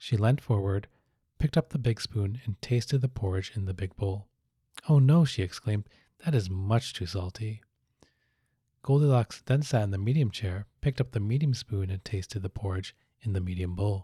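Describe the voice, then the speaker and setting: A man speaks in a fairly low pitch with a dark, mellow tone that is calm, gentle and somewhat breathy. The sound is dry and close with no echo, on a very clean recording with a silent background. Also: ordinary pitch variation, moderate pace. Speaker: psychiatrist hosting a sleep story channel. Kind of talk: soothing sleep story narration. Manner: calm, gentle, relaxed.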